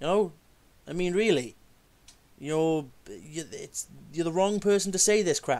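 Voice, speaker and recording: A man with a Welsh accent talks in a high voice at a fairly slow pace. He leaves long, frequent pauses, and his pitch varies in an ordinary way. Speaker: video creator rebutting flat earth claims. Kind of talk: casual video rant and rebuttal.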